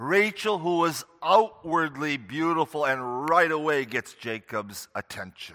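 A man with a normal speaking voice, fairly high in pitch, with lively intonation, at a fairly slow pace with hardly any pauses. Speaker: preacher. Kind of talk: sermon; fervent closing prayer. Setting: church. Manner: earnest, solemn, reverent.

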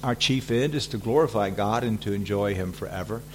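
A man in a Southern US accent talks at a fairly quick pace. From US South. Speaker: visiting preacher and seminary teacher. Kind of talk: sermon. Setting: church. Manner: frequent fillers and hesitations.

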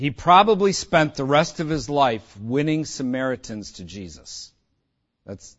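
Using a medium pitch and an American accent, a man speaks with very wide pitch swings. He leaves long, frequent pauses. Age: 50s. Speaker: pastor. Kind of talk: sermon. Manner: animated.

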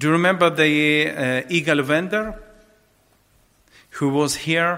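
The man has a bright, sharp tone with vocal fry and a fairly high pitch. His pitch variation is ordinary.

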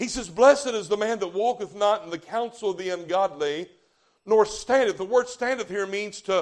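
This man speaks with a Southern US accent and a high pitch. His pitch variation is ordinary. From US South. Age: 40s. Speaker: visiting revival preacher. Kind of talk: fervent old-fashioned Baptist revival sermon, calling for amens from the congregation. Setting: church revival meeting with live congregation. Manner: rising, emphatic preacher cadence, punching key words and drawing out calls for amen.

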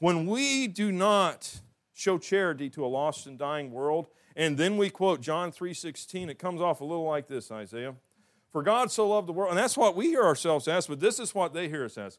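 A man with a high pitch talks in a Southern US accent at a moderate pace. His intonation is lively, and his loudness swings widely. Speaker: pastor. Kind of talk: sermon. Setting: church. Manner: folksy, humorous.

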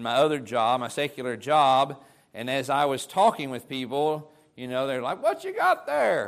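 In a normal speaking voice, a man talks at a moderate pace and fairly high pitch, with ordinary pitch variation and big swings in loudness. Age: 50s. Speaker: preacher. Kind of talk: sermon.

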